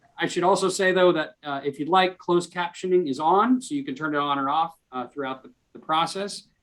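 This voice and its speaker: A man speaks with a high pitch. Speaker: arts organization executive hosting a webinar. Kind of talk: webinar introduction. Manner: fast; halting, many fillers and restarts.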